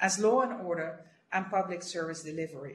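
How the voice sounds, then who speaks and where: A woman talks with ordinary pitch variation and a somewhat breathy quality. Room echo is audible, along with light background noise. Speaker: official briefing a council. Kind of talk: formal prepared briefing. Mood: serious, measured. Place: office. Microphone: video call.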